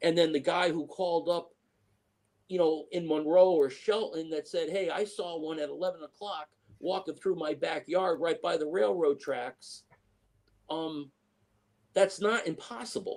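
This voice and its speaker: Pausing long and often, a man with a high voice speaks in an American accent. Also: ordinary pitch variation. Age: 60s. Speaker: eyewitness interviewee. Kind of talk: interview storytelling. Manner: halting, many fillers.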